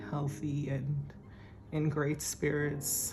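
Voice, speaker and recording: Room echo is audible as a woman speaks at a fairly slow pace. Her pitch is very deep and low. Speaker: personal finance vlogger. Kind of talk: casual vlog talk.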